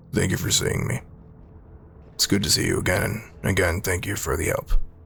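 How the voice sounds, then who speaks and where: A man puts on a raspy character voice, fairly low in pitch, talking at a fairly quick pace over clear background noise. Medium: actual play. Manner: polite, careful.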